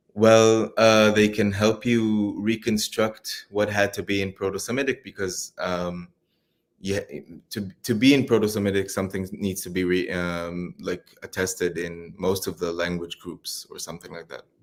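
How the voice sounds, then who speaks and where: A man speaks with an Israeli accent at a moderate pace, his pitch fairly low and his intonation fairly even. The recording is very clean, with a silent background. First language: Hebrew. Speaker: PhD student. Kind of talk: interview. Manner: halting.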